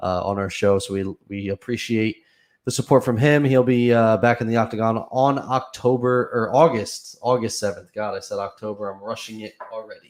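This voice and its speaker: In a very clean recording with a silent background, a man with an American accent speaks at a medium pitch and moderate pace, his intonation fairly even and his loudness swinging widely. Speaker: MMA podcast host. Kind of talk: casual chat. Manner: monotone.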